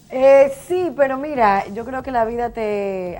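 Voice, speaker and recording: Lively intonation marks a woman's dark, mellow voice. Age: 30s. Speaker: politician. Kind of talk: interview.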